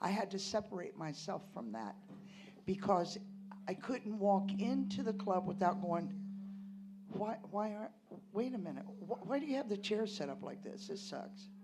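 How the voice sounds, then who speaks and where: Her voice in an American accent has a medium pitch, vocal fry and a dark, mellow tone, with long, frequent pauses and audible room echo around the woman. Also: moderate pace. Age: 60s. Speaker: storyteller at a tavern reunion. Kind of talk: personal storytelling on stage. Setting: stage with audience. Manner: animated.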